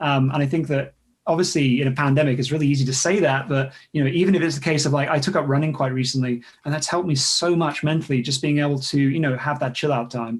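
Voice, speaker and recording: A man's somewhat breathy, fairly high voice at a very fast pace, with fairly even intonation and very even loudness. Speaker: site reliability engineering executive, conference speaker. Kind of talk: casual interview chat.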